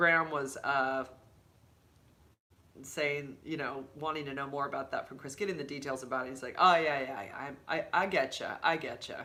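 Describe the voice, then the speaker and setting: With a very deep, low pitch, a woman speaks in an animated, bright and sharp tone at a moderate pace. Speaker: YouTuber and HIV advocate. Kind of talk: casual livestream chat. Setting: home livestream with laptop.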